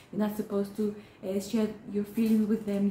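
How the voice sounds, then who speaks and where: A woman talks at a fairly quick pace with a fairly high pitch. Noticeable background noise can be heard. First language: Hebrew. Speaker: therapist. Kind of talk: educational talk. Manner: halting, many fillers.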